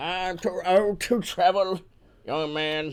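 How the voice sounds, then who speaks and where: Putting on a character voice, a man talks very slowly at a high pitch. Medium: actual play. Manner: suspicious, gruff.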